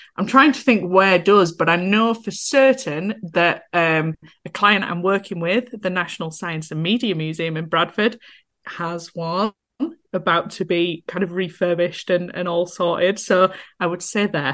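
A woman in a Yorkshire accent at a fairly slow pace, with ordinary pitch variation. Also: fairly low pitch for a woman. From northern England, Yorkshire. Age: 30s. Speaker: accessibility consultant, wheelchair user. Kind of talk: casual interview chat.

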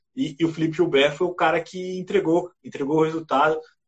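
Using an ordinary speaking voice, a man talks at a fairly quick pace. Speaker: cycling podcast host and TV commentator. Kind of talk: casual sports chat.

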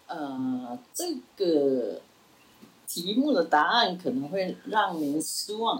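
A woman speaks very slowly in a fairly low voice, her pitch swinging very widely. Noticeable background noise runs underneath. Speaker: retired professor. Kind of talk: interview.

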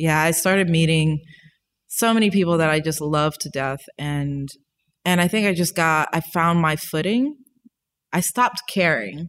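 In an ordinary speaking voice, a woman talks at a moderate pace with an American accent, her pitch fairly low for a woman and her pitch variation ordinary. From US South, New Orleans, Louisiana. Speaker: visual artist, graduate student. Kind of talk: casual chat. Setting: in person in London.

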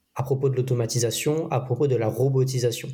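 On a very clean recording with a silent background, a man with a medium pitch and a dark, mellow, somewhat breathy tone speaks at a fairly slow pace in a monotone, flat intonation. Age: 20s. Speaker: social media automation specialist. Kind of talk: casual interview.

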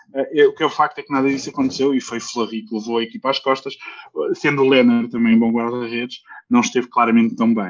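The pace is fairly quick as a man speaks. His pitch sits at a medium level with ordinary variation. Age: 30s. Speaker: ice hockey commentator. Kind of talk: casual sports chat.

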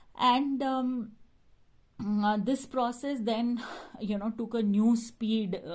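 A woman talks at a very slow pace with a fairly high pitch. Her voice is somewhat breathy. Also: long, frequent pauses. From Middle East, Gujarati family. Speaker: social worker and environmental activist. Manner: hesitant, many fillers.

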